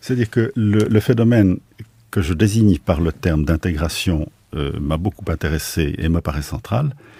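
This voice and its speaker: A man speaks with a very deep, low pitch and a dark, mellow, somewhat breathy tone. His intonation is lively at a moderate pace, the sound dry and close with no echo. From Switzerland, Basel. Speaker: philosopher and sinologist. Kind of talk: radio interview. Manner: halting.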